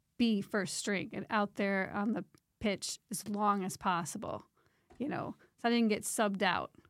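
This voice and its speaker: A woman of medium pitch speaks at a fairly slow pace with fairly even intonation. The sound is dry and close, with no echo. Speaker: parent of young adult. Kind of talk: casual chat.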